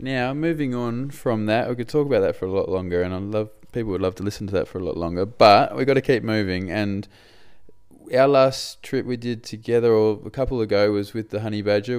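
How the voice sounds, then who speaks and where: A man speaks at a fairly quick pace with an Australian accent. His pitch is fairly low. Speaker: podcast host. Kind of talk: casual chat.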